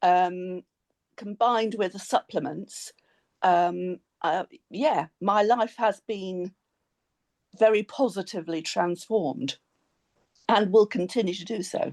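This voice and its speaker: With an English accent, a woman speaks at a medium pitch with long, frequent pauses, recorded dry and close with no echo. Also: ordinary pitch variation. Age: 60s. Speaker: former bariatric nurse. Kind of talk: interview testimony.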